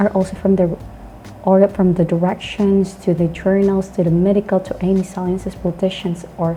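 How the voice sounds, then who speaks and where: A woman with a Filipino accent, monotone and flat, at a moderate pace over noticeable background noise. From Philippines. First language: not English. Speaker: English teacher, online channel host. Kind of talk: educational talk. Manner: halting.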